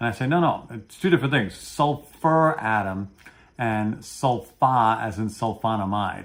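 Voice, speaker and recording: Speaking in a Brooklyn accent, a man with a medium pitch talks fairly slowly, his tone animated and his intonation lively. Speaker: pharmacology educator. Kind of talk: interview on a video program.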